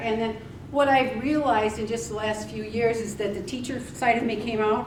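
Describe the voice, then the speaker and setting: In a room with audible echo and noticeable background noise, a woman with a fairly high voice speaks at a moderate pace. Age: 70s. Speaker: weight loss speaker and author. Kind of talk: presentation to a live audience. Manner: casual, hesitant with fillers.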